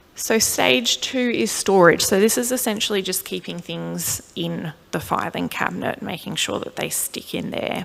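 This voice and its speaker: A woman talks at a moderate pace with an Australian accent and hardly any pauses. Noticeable background noise can be heard. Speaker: clinical neuropsychologist. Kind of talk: lecture.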